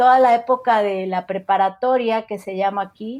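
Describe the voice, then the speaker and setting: A Mexico City accent over a quiet background. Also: woman. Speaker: podcaster. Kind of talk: interview conversation.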